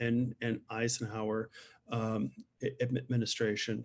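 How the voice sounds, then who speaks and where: Fairly slow and flat, a man speaks in a monotone. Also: quiet background. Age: 60s. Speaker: museum director. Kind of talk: interview conversation. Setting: video call. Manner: halting, frequent stammering.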